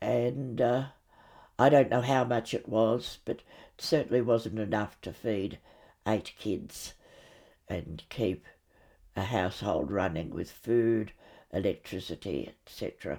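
With an Australian accent, a woman talks fairly slowly in a very deep, low pitch and a dark, mellow tone, her lively intonation broken by long, frequent pauses on a very clean recording with a silent background. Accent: Australian, older generation. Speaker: grandmother recounting childhood memories. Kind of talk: storytelling memoir, recounting memories.

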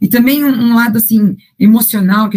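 The woman's voice is somewhat breathy. She keeps to a moderate pace. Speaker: financial educator and coach. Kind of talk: interview. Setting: podcast.

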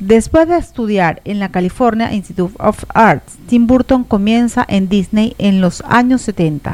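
At a fairly slow pace, a woman with an ordinary speaking voice and fairly high pitch uses lively intonation. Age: 40s. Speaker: radio host. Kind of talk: scripted narration.

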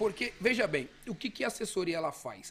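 Over music in the background, a man speaks at a fairly quick pace with a high pitch. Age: 30s. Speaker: lawyer and businessman. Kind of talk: casual chat. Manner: halting, repeats words.

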